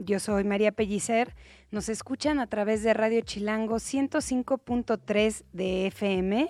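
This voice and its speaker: A woman talks very slowly, her voice fairly high. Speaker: radio host. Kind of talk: casual chat.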